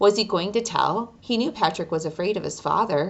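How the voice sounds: Natural reading voice, nothing more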